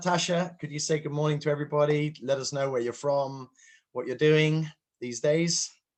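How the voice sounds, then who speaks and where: Against a quiet background, a man with a British accent talks at a fairly high pitch. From UK. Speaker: session moderator. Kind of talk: online conference moderation.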